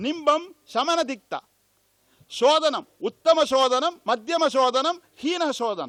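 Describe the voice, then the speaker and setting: A man's loud, bright, sharp voice. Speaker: Ayurvedic doctor, conference speaker. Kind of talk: lecture. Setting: conference hall.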